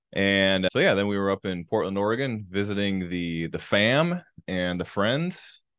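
At a moderate pace, a man with a fairly low pitch talks with ordinary pitch variation in an ordinary speaking voice. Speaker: podcast host. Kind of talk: casual chat. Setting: Mexico, recorded while traveling.

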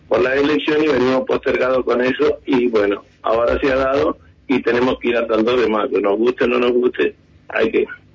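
At a fairly quick pace and very even loudness, the speaker talks over noticeable background noise. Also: man. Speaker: taxi drivers' union leader. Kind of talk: radio phone interview.

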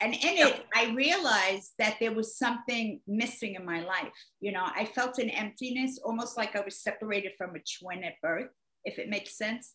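Ordinary pitch variation marks this talking, which keeps a moderate pace. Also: woman, fairly high pitch for a woman. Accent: American. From the Bronx, New York. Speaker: comedian. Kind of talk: casual interview chat. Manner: animated, joking.

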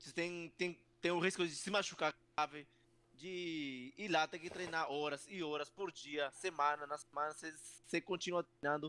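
At a moderate pace, a man with a strong Peruvian accent speaks in a fairly high pitch with ordinary pitch variation, the sound dry and close with no echo. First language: Spanish (speaking Portuguese). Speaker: professional wrestler. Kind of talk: interview. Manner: halting.

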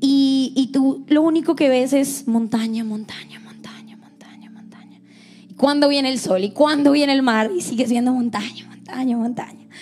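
A woman with a Colombian accent talks at a high pitch and a moderate pace, with ordinary pitch variation. Her loudness swings widely. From Colombia, Bogotá, coastal family. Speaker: church staff member. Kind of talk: devotional talk.

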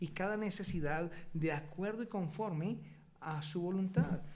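This man's voice sits high, with ordinary pitch variation and a fairly slow pace. Room echo can be heard. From Colombia. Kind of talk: testimony. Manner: halting.

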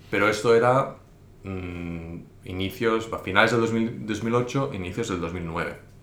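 A man's fairly slow speech with ordinary pitch variation and audible room echo. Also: fairly low pitch for a man. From Spain. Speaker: investor and investment teacher. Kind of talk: interview. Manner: hesitant, many fillers.

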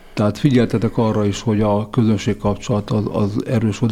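A man's fairly low voice at a very fast pace, with fairly even intonation over noticeable background noise. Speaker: radio host. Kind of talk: interview.

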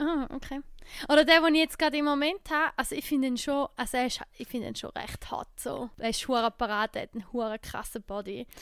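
A woman with an eastern Swiss accent speaks fairly quickly at a high pitch, with ordinary pitch variation. The recording is very clean, with a silent background. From eastern Switzerland. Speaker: podcast host. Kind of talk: casual chat.

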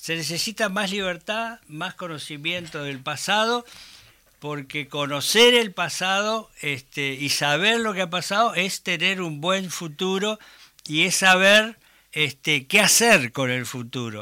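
A man with a Uruguayan accent speaks at a very slow pace in a high, bright and sharp voice, on a very clean recording with a silent background. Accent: Rioplatense Spanish (Uruguayan). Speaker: human rights activist. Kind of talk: interview. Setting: studio.

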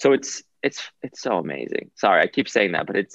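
The sound is dry and close, with no echo. A man speaks at a moderate pace. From US Northeast, Rhode Island. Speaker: wellness doctor. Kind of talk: interview.

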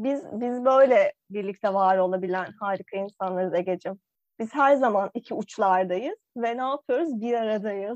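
A woman talks at a fairly slow pace in an animated tone, with fairly high pitch and ordinary pitch variation. She takes hardly any pauses, and the sound is dry and close with no echo. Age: 20s. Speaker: podcast co-host. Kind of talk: casual chat.

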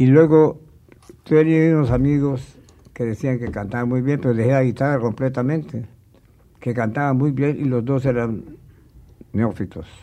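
A man speaks in a dark, mellow tone. Long, frequent pauses break up his speech. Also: medium pitch for a man, ordinary pitch variation, moderate pace. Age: 80s+. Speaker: traditional troubadour composer. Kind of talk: interview, reminiscing. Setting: recording studio.

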